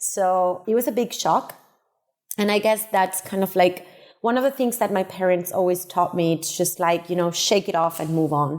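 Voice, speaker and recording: A woman with a Spanish accent at medium pitch and moderate pace, ordinary pitch variation and very even loudness, on a very clean recording with a silent background. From Uruguay, then Barcelona from age 14. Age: 30s. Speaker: tech startup co-founder. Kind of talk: podcast interview. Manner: hesitant repetitions.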